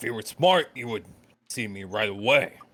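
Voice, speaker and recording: A man's raspy, put-on character voice with lively intonation and big swings in loudness. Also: medium pitch for a man, moderate pace. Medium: actual play. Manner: curt.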